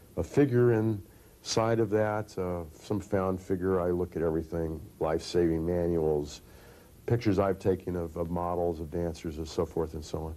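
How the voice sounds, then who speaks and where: A man speaks at a moderate pace. His pitch is very deep and low, with ordinary variation. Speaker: interviewee. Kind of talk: interview answer. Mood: thoughtful, reflective. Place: studio.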